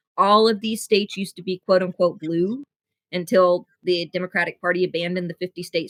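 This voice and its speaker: A woman speaks at a fairly quick pace with a medium-pitched voice. Her pitch varies in an ordinary way. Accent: American. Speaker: podcast host. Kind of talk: interview conversation.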